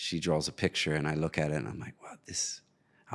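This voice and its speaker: With an American accent, a man speaks at a moderate pace in a very clean recording with a silent background. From US, New Jersey. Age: 40s. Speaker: filmmaker. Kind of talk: interview.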